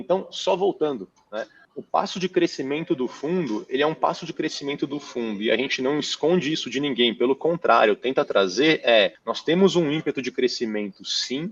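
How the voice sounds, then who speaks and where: A man at a fairly high pitch with lively intonation, dry and close with no echo. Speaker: real estate fund manager. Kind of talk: interview. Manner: fast; animated.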